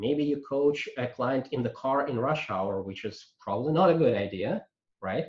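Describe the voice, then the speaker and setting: His accent is non-native. This man's intonation rises and falls in a lively way. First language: not English. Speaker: coaching trainer. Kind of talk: lecture. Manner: halting, many fillers.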